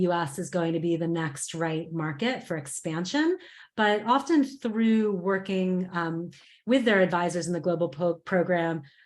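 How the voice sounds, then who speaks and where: A woman speaks with a fairly low pitch. Her pace is moderate and her pitch varies in an ordinary way. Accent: American. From United States. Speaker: program manager. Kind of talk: online information session.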